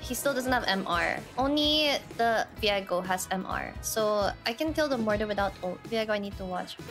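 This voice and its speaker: A woman speaks at a moderate pace with clear music in the background. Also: medium pitch for a woman, lively intonation, hardly any pauses. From Philippines. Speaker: Twitch streamer, gamer. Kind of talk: casual gaming stream commentary. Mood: playful, dramatic frustration. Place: home room.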